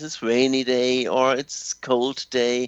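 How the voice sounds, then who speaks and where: A man speaks with a German accent. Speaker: language teacher. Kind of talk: radio interview. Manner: halting.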